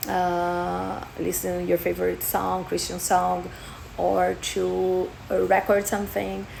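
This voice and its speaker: A woman at a very slow pace, with audible room echo. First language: Portuguese. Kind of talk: personal testimony vlog. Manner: halting, many fillers.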